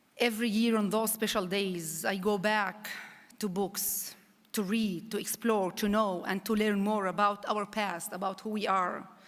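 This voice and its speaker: The speaker has an Arabic accent and a flat, monotone delivery at a fairly slow pace. Room echo is audible. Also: woman, medium pitch for a woman. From Israel, Druze village of Daliat el Carmel. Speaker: public diplomacy envoy, former journalist. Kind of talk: conference speech.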